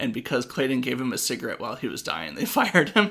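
A man speaks at a medium pitch with ordinary pitch variation. His tone is bright and sharp, on a very clean recording with a silent background. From Washington state. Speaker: podcast host and comedian. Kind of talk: casual chat.

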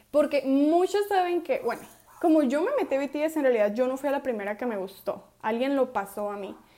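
A woman speaks in a high pitch with a dark, mellow tone. Her pitch swings very widely at a moderate pace. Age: 20s. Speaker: podcast host. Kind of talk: casual chat. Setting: at home with family. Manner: animated.

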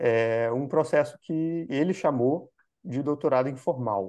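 Over a quiet background, a man speaks at a very slow pace. His voice has a fairly high pitch and a dark, mellow tone. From Brazil, Minas Gerais. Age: 30s. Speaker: education author. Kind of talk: interview.

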